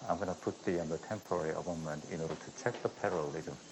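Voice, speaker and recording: In a Korean accent, a man talks at a very fast pace with a very deep, low pitch. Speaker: dentist doing live surgery demo. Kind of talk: live surgical demonstration. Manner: quiet, soft-spoken. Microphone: too quiet, hard to hear.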